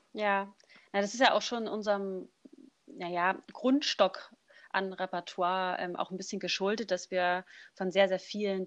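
In a quiet background, a woman with an unremarkable speaking voice talks at medium pitch and a moderate pace, her intonation fairly even. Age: 20s. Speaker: a cappella singer. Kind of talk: casual interview.

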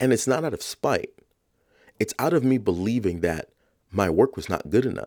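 A man with a New York accent at a moderate pace. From New York, South Bronx. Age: 30s. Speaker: podcast host. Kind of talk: reflective monologue.

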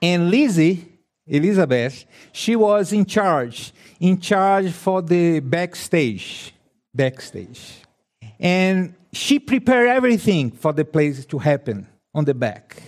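On a very clean recording with a silent background, a man with a high voice talks at a very slow pace, his pitch swinging very widely. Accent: Brazilian. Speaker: preacher. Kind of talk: sermon. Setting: church. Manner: halting, non-native English.

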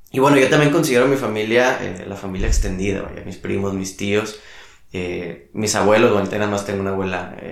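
There is audible room echo around the speaker. A man talks at a moderate pace in a fairly low pitch. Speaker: youth ministry worker. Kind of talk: casual interview. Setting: at home.

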